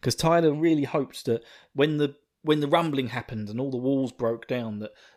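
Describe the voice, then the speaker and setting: Recorded very cleanly against a silent background, a man with a slight Essex accent speaks at a fairly high pitch with ordinary pitch variation. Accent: slight Essex twang. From England, Essex. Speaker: podcast host. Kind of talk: casual chat. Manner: halting, many fillers.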